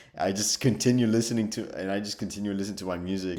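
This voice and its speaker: In a room with audible echo, a man's fairly low, dark, mellow voice carries fairly even intonation. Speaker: storyteller youtuber. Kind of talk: story time.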